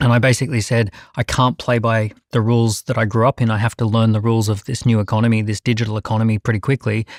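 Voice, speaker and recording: A very fast, monotone man's voice at medium pitch with an Australian accent and flat intonation, dry and close with no echo, on a very clean recording with a silent background. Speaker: entrepreneur. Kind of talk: panel discussion.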